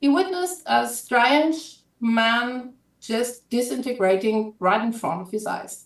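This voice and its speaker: With a German accent and lively intonation, a woman speaks at a very slow pace and a fairly high pitch. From Germany. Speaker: author. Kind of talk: casual pitch of own book on live stream. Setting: live video stream.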